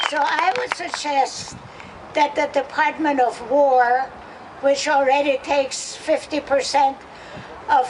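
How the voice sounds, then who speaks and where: Against noticeable background noise, a woman speaks very slowly in a high pitch. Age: 80s+. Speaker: activist. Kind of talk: protest rally speech. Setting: outdoors.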